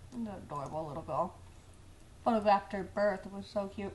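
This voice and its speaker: There is audible room echo as a woman speaks at a fairly quick pace. Her pitch is medium, with ordinary pitch variation. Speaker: photographer. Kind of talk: tutorial. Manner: casual, rambling.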